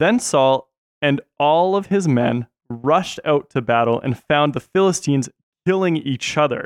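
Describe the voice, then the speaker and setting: In a dry, close sound with no echo, a man with a normal speaking voice talks at a moderate pace, fairly high in pitch and lively in intonation. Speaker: podcast host and camp worker. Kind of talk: casual podcast chat about Bible story.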